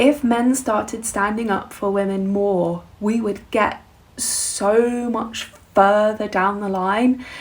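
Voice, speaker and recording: Speaking very slowly, a woman uses a fairly high pitch and fairly even intonation. She has a southern English accent. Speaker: musician and vlogger. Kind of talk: casual vlog monologue.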